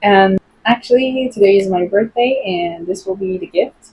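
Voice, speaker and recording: A somewhat breathy voice with a non-native accent, a fairly slow pace and ordinary pitch variation. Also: woman. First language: not English (English is fourth language). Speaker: English teacher and content creator. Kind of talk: casual vlog talk to camera. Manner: hesitant, with fillers.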